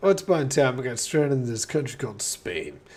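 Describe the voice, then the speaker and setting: A man's medium-pitched voice with lively intonation at a fairly quick pace, in audible room echo. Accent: American. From West Texas. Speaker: gaming streamer. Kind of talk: casual chat while gaming.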